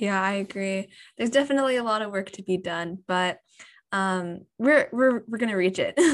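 On a very clean recording with a silent background, a woman talks at a moderate pace in a medium pitch with ordinary pitch variation and a plain, everyday voice. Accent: American. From USA. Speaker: podcast host. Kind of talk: interview.

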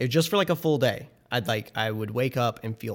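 The man talks at a fairly quick pace in a medium pitch, his voice somewhat breathy and his intonation lively. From rural area. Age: 20s. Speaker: illustrator and graphic designer. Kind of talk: casual chat.

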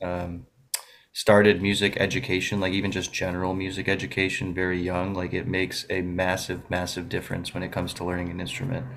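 A man with an American accent and a very deep, low pitch talks at a very fast pace in monotone, flat intonation. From Buffalo, New York. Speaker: classical guitarist. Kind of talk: radio interview.

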